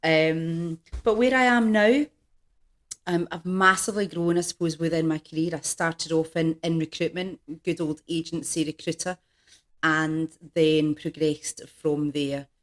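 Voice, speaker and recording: In a Scottish accent, a woman talks at a moderate pace with ordinary pitch variation and a fairly low pitch. The sound is dry and close, with no echo. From Scotland, Glasgow. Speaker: executive coach. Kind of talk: podcast interview.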